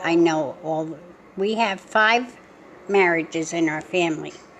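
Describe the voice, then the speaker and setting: A woman speaks very slowly at a medium pitch, with ordinary pitch variation. Noticeable background noise runs under her voice. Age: 80s+. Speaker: family vlogger. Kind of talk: casual chat. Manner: rambling conversational.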